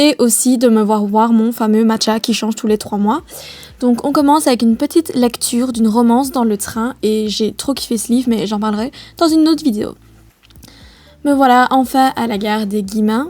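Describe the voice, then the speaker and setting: This woman speaks with a Liège accent. Her tone is dark and mellow, and her pitch sits fairly high. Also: ordinary pitch variation, moderate pace. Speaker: vlogger, business student. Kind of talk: voice-over narration of vlog. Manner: ironic, gentle.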